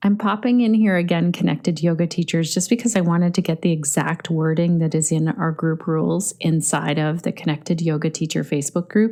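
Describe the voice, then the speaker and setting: A woman with a fairly low, dark, mellow voice speaks fairly quickly with hardly any pauses, ordinary pitch variation, and very even loudness. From Canada. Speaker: podcast host, yoga teacher. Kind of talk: podcast narration between interview segments.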